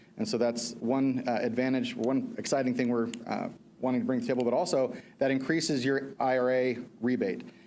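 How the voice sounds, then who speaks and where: A man's medium-pitched voice, dark and mellow in tone, at a very fast pace with ordinary pitch variation and audible room echo. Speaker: energy services contractor presenter. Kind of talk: presentation to school board.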